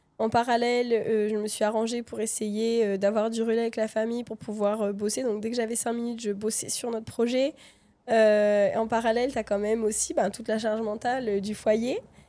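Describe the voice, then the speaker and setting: Flat, monotone intonation carries this speech at a fairly quick pace. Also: woman, fairly high pitch for a woman. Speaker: entrepreneur and mother. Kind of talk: casual chat.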